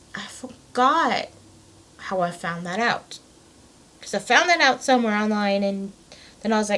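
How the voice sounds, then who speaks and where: A woman talks with long, frequent pauses. Noticeable background noise runs underneath. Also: fairly high pitch for a woman, moderate pace. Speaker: gaming vlogger. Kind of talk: casual vlog monologue. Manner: halting, many fillers.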